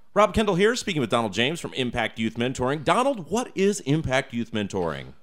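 A man with a fairly high pitch talks at a fairly quick pace, his voice showing vocal fry and very wide pitch swings. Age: 30s. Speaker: radio host. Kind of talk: interview; radio announcements. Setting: radio studio.

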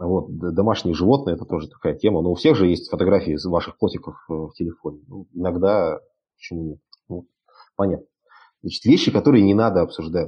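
Speaking fairly quickly but with long, frequent pauses, a man with a very deep, low voice shows ordinary pitch variation and big swings in loudness. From Siberia, Russia (Krasnoyarsk). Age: 30s. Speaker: entrepreneur and networking speaker. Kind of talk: online lecture. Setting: live stream broadcast. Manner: casual, with many fillers.

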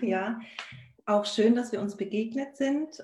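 This woman's tone is dark and mellow, and somewhat breathy. She talks at a fairly slow pace. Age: 40s. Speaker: virtual assistant and life coach. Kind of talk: casual live-stream conversation. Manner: halting, many fillers.

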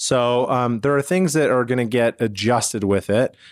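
A plain, everyday voice from a man at medium pitch, moderate pace and ordinary pitch variation, on a very clean recording with a silent background. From Canada, Calgary. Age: 40s. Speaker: financial advisor, radio show host. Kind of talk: casual radio interview. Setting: radio studio.

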